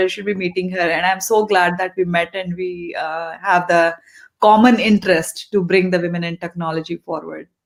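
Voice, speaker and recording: A fairly quick pace and a monotone, flat intonation. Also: woman. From India, grew up in eastern India. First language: Hindi and Telugu. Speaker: tech leader. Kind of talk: interview.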